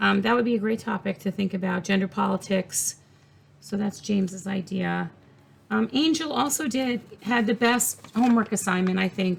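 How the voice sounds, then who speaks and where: Here a woman talks at a moderate pace with a medium pitch. Her voice carries vocal fry, and her pitch variation is ordinary. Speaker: college professor. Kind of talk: recorded class announcement. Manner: casual, many filler words.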